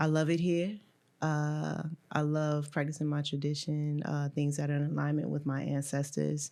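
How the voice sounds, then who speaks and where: In a very clean recording with a silent background, a woman with an Atlanta accent speaks at a moderate pace in a very deep, low pitch, with a dark, mellow tone, monotone, flat intonation and very even loudness. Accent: Southern, West Atlanta. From US South, west side of Atlanta, Georgia. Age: 40s. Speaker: priest and midwife. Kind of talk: casual chat.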